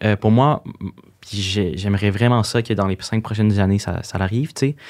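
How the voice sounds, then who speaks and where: This man speaks with a Quebec accent at a fairly low pitch, with ordinary pitch variation. The background is quiet. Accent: Québécois French. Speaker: social media influencer. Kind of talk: interview. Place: studio. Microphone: studio mic.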